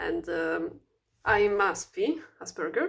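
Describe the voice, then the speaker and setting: A woman speaks with a non-native accent. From Italy. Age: 20s. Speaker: vlogger. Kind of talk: casual self-introduction vlog. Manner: halting, many fillers and restarts; stuttering speech.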